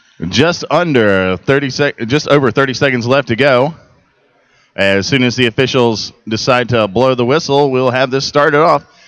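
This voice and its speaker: Moderate pace and ordinary pitch variation. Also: man, medium pitch for a man, very even loudness. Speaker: roller derby commentator. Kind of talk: live commentary. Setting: convention center arena. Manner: loud.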